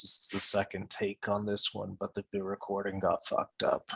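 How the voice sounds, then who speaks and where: A man is speaking. He is soft-spoken. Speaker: podcast co-host. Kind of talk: casual discussion.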